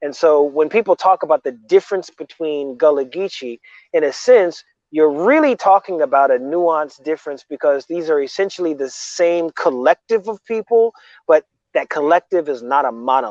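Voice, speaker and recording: A man with an unremarkable speaking voice talks at a moderate pace and fairly high pitch, with lively intonation. The sound is dry and close with no echo, over a quiet background. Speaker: Gullah language teacher. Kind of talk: interview answer.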